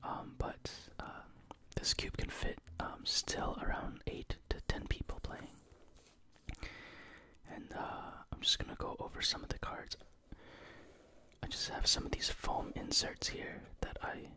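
Amid noticeable background noise, a soft-spoken whisper unfolds at a fairly slow pace with long, frequent pauses and a dry sound with no echo. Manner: soft ASMR whisper.

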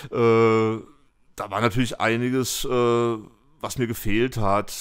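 Over a silent background in a very clean recording, a man speaks very slowly at medium pitch, his intonation monotone and flat. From Fulda, Hesse, Germany. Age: 50s. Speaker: graffiti artist. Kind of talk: casual interview. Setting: at home. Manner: hesitant with many fillers.

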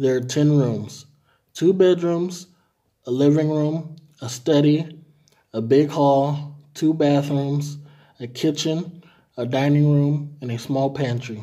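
Against a quiet background, a man with a dark, mellow tone speaks at a very slow pace with fairly even intonation and long, frequent pauses. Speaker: language tutor. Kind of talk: reading aloud. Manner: formal. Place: home room. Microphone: phone near.

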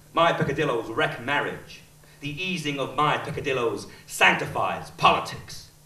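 The man speaks at a moderate pace with ordinary pitch variation. Audible room echo surrounds his voice. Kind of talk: theatrical monologue. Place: stage.

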